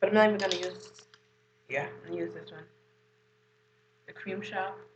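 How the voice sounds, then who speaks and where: A woman talks at a fairly quick pace with big swings in loudness. The room echo is audible. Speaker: beauty vlogger. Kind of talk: makeup tutorial. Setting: at home. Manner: casual.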